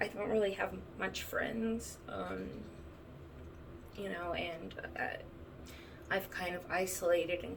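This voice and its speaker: A woman's speech has long, frequent pauses, with noticeable background noise and audible room echo around her. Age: 30s. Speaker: vlogger sharing chronic illness experience. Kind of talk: personal testimony. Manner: halting, many fillers.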